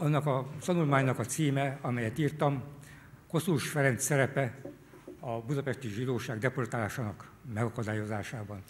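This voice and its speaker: Somewhat breathy and medium-pitched, a man talks at a fairly quick pace with ordinary pitch variation. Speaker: military historian. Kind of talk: formal talk with consecutive interpretation. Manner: formal.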